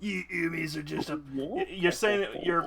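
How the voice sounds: In a put-on character voice with a Cockney accent, a man speaks at a high pitch and a moderate pace. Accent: bad Cockney.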